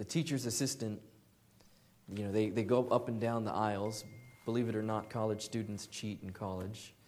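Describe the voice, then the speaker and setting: A man with an American accent speaks at a fairly low pitch and a fairly even intonation, leaving long, frequent pauses, with audible room echo. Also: moderate pace. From Southern California. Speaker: lay preacher. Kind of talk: sermon.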